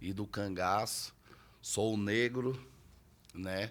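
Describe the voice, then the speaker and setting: This man's voice sits fairly low in pitch. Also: very clean recording, silent background. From Brazil, Federal District (Paranoá). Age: 30s. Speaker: quadrilha leader. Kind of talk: interview.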